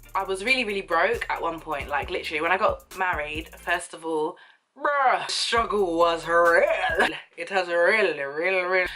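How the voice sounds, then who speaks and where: Through noticeable background noise, a woman speaks at a moderate pace in an animated tone. Her pitch is medium with ordinary variation. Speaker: YouTuber. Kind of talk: casual storytime vlog.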